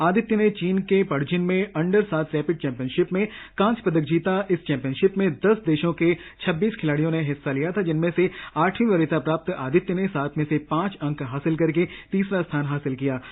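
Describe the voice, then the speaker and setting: A high-pitched man with ordinary pitch variation. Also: moderate pace. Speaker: radio jockey, radio show host. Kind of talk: radio sports news show presentation. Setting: radio studio.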